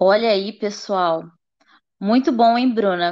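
Lively in intonation, a normal speaking voice moves at a fairly slow pace over a quiet background. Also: woman. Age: 20s. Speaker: art student. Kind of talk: educational podcast presentation.

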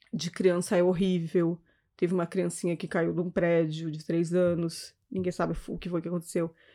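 A woman's dark, mellow tone at a moderate pace, in a very clean recording with a silent background. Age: 40s. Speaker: civil servant and lawyer. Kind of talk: casual chat.

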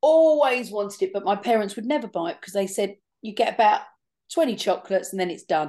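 In a quiet background, a woman with an English accent talks at a very fast pace, her intonation lively and her loudness swinging widely. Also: medium pitch for a woman. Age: 50s. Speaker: podcast co-host. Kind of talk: casual chat. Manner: animated.

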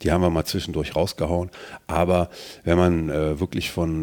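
A man with a very deep, low pitch and a dark, mellow tone talks at a moderate pace. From Germany, Mönchengladbach-Rheydt (Lower Rhine). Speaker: rapper and lyricist. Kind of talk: casual interview.

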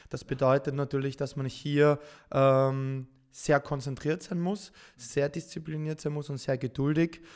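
An unremarkable speaking voice belongs to a man with a fairly high pitch and fairly even intonation. He speaks at a fairly slow pace on a very clean recording with a silent background. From Austria, Vienna. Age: 30s. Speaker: professional esports gamer. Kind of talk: podcast interview.

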